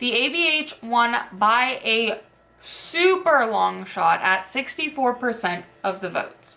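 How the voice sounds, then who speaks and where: This woman's voice sits at a fairly high pitch. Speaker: beauty youtuber. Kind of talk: makeup tutorial. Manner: casual, filler-heavy; quiet while doing liner.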